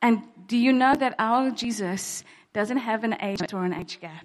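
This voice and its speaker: With a plain, everyday voice, a woman speaks at a fairly slow pace with ordinary pitch variation on a very clean recording with a silent background. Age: 40s. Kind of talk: testimony. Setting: church.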